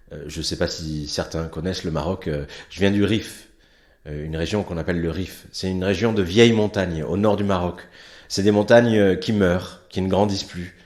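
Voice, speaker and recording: A man with a very deep, low pitch speaks at a moderate pace with fairly even intonation. His loudness swings a lot, and room echo is audible. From France, born in Morocco's Rif. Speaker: stage performer. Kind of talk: stage monologue to students.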